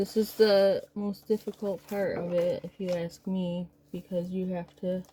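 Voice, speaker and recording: Soft-spoken and somewhat breathy, a woman speaks at a medium pitch with monotone, flat intonation. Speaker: crafter. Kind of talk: tutorial. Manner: casual.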